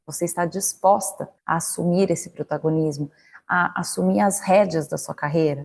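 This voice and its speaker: At a moderate pace, a woman speaks in a fairly low pitch with a dark, mellow, somewhat breathy tone. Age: 30s. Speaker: corporate career coach, marketing manager. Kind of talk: online lecture. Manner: conversational, direct address with rhetorical questions.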